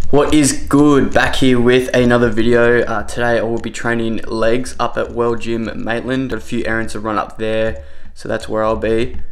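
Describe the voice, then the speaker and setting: Keeping a moderate pace with hardly any pauses, a man speaks in fairly even intonation. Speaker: fitness vlogger. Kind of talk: casual vlog chat. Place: kitchen. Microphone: phone near.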